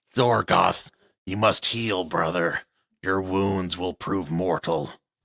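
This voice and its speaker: Using a put-on character voice, the speaker growls in a guttural tone at a fairly slow pace. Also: man, very deep, low pitch for a man. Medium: read story.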